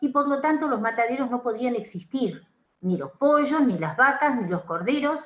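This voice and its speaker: A woman speaks in a high voice with lively intonation. Her pace is moderate. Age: 70s. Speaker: psychoanalyst. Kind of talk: panel discussion remarks.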